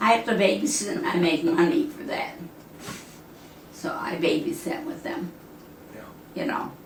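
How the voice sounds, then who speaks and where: Noticeable background noise sits behind a woman whose fairly high voice makes very wide pitch swings. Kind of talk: interview answer. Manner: snarky.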